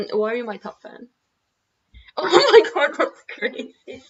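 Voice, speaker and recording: A woman is speaking here. Her pace is fairly slow. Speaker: digital artist streaming. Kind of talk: casual live stream chat. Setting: live stream. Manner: giggly.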